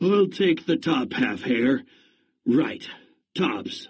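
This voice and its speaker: A man speaks very slowly in a raspy, put-on character voice. His pitch is fairly high. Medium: read story. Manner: slow, grumbling.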